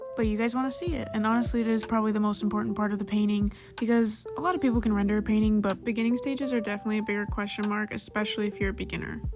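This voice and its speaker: A woman at a very fast pace and fairly high pitch, with hardly any pauses, fairly even intonation and noticeable background noise. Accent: American. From US Midwest. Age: 20s. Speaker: painter. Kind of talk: casual talk over painting.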